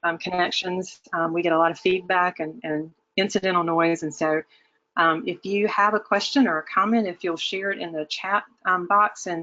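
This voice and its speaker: A woman with a Southern US accent, at a moderate pace and medium pitch, with ordinary pitch variation. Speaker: webinar presenter, academic. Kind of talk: webinar presentation. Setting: online webinar. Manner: hesitant with many fillers.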